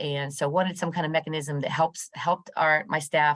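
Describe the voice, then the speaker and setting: A woman speaks against a quiet background. Her pitch is very deep and low. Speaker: program manager and business counselor. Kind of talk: training presentation on video call. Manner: hesitant, many fillers. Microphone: video call.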